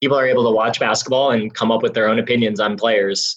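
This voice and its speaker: Speaking at a medium pitch, a man uses an unremarkable speaking voice and fairly even intonation. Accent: American. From Wisconsin, Milwaukee. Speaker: basketball analytics director. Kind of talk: interview.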